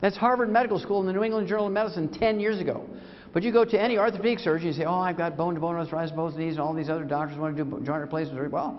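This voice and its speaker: Talking at a very fast pace in an animated tone, a man with a fairly high pitch uses lively intonation amid audible room echo. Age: 70s. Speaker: doctor and supplement company founder lecturing. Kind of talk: sales lecture.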